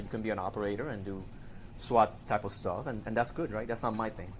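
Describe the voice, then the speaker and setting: In a Spanish accent, a man speaks at a very fast pace with a fairly low pitch. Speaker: digital forensics investigator. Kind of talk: podcast interview. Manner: hesitant, repeats words.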